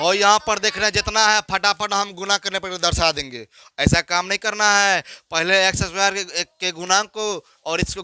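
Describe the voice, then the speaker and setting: At a fairly slow pace, a raised, projected voice with a bright, sharp tone keeps fairly even intonation, captured in a dry, close sound with no echo on a very clean recording with a silent background. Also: man. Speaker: school maths teacher. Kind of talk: classroom lecture. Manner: slow, repetitive explanation.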